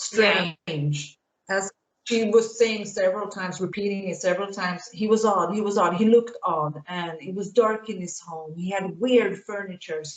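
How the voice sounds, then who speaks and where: A woman speaks with a Swedish accent. Her loudness swings widely. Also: medium pitch for a woman, fairly even intonation, moderate pace. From Sweden. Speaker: YouTube commentator. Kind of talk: casual chat.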